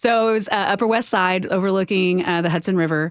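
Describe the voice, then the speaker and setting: At a moderate pace, a woman with a Southern US accent talks at medium pitch with fairly even intonation. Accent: Southern twang. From US South, Houston, Texas. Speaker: nonprofit executive. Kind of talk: interview. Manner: many fillers (um, uh).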